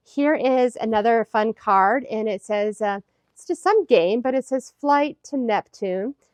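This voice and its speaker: In a dry, close sound with no echo, a woman with an American accent speaks at a fairly high pitch with ordinary pitch variation. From US. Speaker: craft YouTuber. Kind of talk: casual vlog show-and-tell. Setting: craft room at home. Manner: animated. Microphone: iPhone recording.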